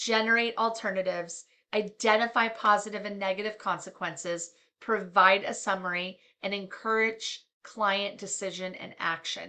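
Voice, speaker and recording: Against a quiet background, a woman speaks at a moderate pace in a medium pitch with a bright, sharp tone, monotone, flat intonation and big swings in loudness. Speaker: counseling professor. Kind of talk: lecture.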